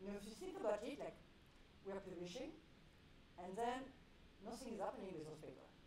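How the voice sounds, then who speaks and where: Speaking with a French accent, a woman with a medium pitch uses lively intonation. Audible room echo surrounds her voice. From France. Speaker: clinical researcher. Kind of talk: panel talk.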